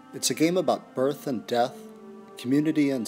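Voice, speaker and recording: Over music in the background, a man with a fairly high voice talks at a moderate pace. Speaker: game designer. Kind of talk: crowdfunding pitch to camera.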